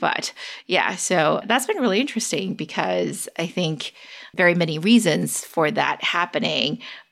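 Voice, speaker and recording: A woman at a moderate pace, fairly low in pitch with vocal fry, on a very clean recording with a silent background. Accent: American. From US West Coast, San Francisco Bay Area. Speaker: tech investor and analyst. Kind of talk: interview.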